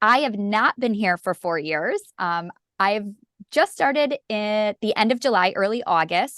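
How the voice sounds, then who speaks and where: With a northern US accent and lively intonation, the speaker moves at a fairly slow pace. The sound is dry and close with no echo, over a quiet background. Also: woman, fairly high pitch for a woman. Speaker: literacy educator. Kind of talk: webinar presentation. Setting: video call. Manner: informal.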